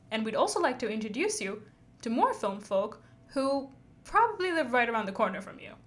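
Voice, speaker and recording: A fairly quick speaker whose pitch leaps very widely and whose loudness swings hard. The room echo is audible. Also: woman, high pitch for a woman. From India, Chennai. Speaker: podcast host, filmmaker. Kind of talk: scripted podcast intro.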